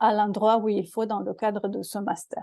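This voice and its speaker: The speech is very slow. The tone is dark and mellow. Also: woman. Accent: Romanian. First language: Romanian (speaking French). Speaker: law professor, master's programme director. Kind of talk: programme presentation to prospective students. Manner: halting, many hesitations and repetitions.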